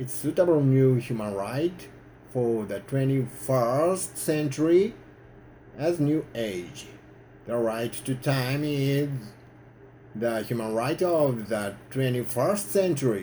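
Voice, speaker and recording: Speech comes at a very slow pace, with long pauses that come often. The tone is dark and mellow, and the intonation is lively. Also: man, medium pitch for a man. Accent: Japanese. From Japan. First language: Japanese. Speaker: activist. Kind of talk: prepared speech to camera.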